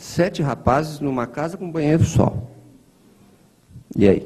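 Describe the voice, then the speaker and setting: Vocal fry runs through a dark, mellow tone. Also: man. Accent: rural Brazilian. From interior of São Paulo state, Brazil. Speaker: spiritist lecturer. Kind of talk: lecture. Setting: spiritist center hall, streamed online. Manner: conversational.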